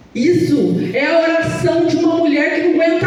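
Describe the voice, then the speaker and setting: The animated, loud voice carries audible room echo over noticeable background noise. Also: woman. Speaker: pastor. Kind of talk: sermon.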